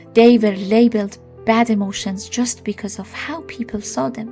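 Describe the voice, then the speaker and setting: A woman with a non-native accent speaks at a fairly slow pace while music plays in the background. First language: not English. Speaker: storyteller. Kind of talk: read story.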